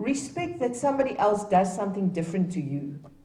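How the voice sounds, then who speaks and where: A woman with a South African accent talks at a medium pitch, her voice swinging very widely up and down. The room echo is audible. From Namibia, Gobabis. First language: Afrikaans. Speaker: dignitary speaker at a heritage event. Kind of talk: ceremonial speech. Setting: public event with live audience.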